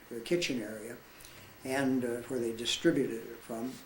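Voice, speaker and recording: A man speaks at a medium pitch, with noticeable background noise behind him. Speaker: war veteran. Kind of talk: storytelling, personal recollection.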